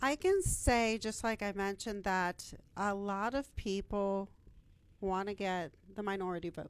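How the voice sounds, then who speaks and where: Fairly even intonation and a medium pitch mark a woman's speech, delivered at a fairly slow pace. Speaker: city council member and candidate. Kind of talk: interview.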